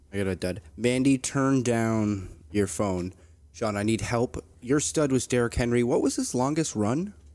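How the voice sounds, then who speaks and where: This is a man with an ordinary speaking voice, talking at a fairly slow pace. The recording is very clean, with a silent background. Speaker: sports podcast co-host, football fan. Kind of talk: casual chat.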